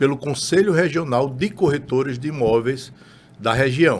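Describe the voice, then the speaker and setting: Here is a man with an ordinary speaking voice at medium pitch. He talks at a fairly slow pace with ordinary pitch variation. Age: 60s. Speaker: real estate broker. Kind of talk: interview.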